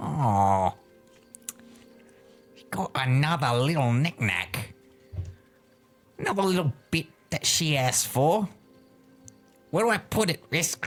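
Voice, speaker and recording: Faint music plays behind a put-on character voice that moves at a fairly slow pace with long, frequent pauses. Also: man, fairly high pitch for a man. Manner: hushed, casual.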